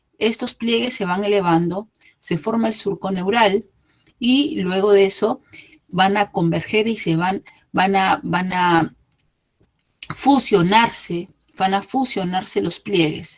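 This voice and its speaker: Pausing long and often, a woman speaks at a very slow pace and a medium pitch with ordinary pitch variation. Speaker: embryology lecturer. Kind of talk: lecture.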